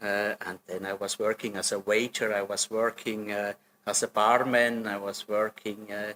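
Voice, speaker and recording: A man with a Swiss German accent speaks at a moderate pace and a fairly low pitch, in a bright, sharp tone with monotone, flat intonation. The sound is dry and close with no echo, on a very clean recording with a silent background. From German-speaking Switzerland, Solothurn. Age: 60s. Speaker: hotel general manager. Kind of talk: interview. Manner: hesitant, with many fillers.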